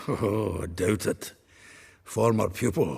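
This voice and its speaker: Using a put-on character voice, a man speaks raspily at a fairly low pitch and a fairly slow pace. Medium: video game. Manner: jovial, laughing.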